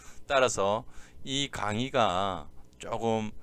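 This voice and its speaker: With lively intonation and a fairly low pitch, a man speaks in a room with audible echo. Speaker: exam prep lecturer. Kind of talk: lecture. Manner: slowed down deliberately.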